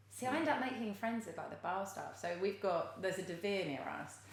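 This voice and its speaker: With an English accent, a woman talks at a very fast pace with lively intonation, amid noticeable background noise and audible room echo. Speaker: recruitment tech founder. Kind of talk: casual chat. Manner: loud.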